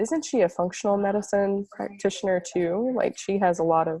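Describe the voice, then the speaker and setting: This woman's voice sits at a medium pitch with a dark, mellow tone. She talks at a moderate pace with ordinary pitch variation. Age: 20s. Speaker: ayurveda student. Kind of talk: interview.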